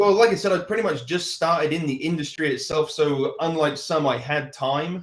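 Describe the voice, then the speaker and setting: In a London accent, a man speaks at a moderate pace with hardly any pauses and ordinary pitch variation. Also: fairly high pitch for a man. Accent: British, from London. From England, London. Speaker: financial advisor. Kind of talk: interview. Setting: live video stream.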